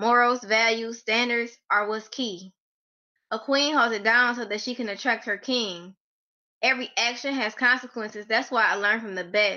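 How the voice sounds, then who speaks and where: A woman speaks at a moderate pace in an unremarkable speaking voice. Her intonation stays fairly even. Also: fairly high pitch for a woman. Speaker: poet. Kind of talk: poetry reading. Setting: video call.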